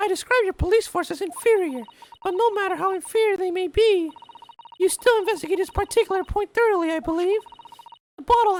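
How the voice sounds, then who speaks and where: In a put-on character voice, squeaky and extremely high, the speaker rattles along at a very fast pace broken by long, frequent pauses. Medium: game stream. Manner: polite, formal.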